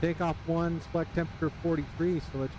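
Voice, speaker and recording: A man with a fairly high pitch is heard, and noticeable background noise runs behind him. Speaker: flight sim streamer. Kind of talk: live gameplay commentary.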